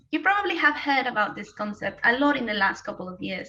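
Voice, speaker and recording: Using a raised, projected voice, a woman with a Spanish accent speaks at a high pitch with very wide pitch swings. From Mexico. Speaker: postgraduate student. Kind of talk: timed thesis presentation.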